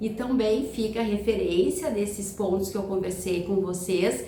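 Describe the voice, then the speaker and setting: Amid noticeable background noise and audible room echo, a woman talks at a fairly slow pace and a medium pitch. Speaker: family lawyer. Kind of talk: recorded video lecture. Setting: recorded video talk. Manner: halting, many fillers and repetitions.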